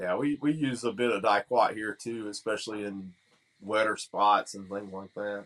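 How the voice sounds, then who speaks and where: Against a quiet background, a speaker with a Southern US accent talks at a moderate pace, with fairly even intonation and big swings in loudness. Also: man, fairly low pitch for a man. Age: 40s. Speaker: lawn care operator. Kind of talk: casual chat.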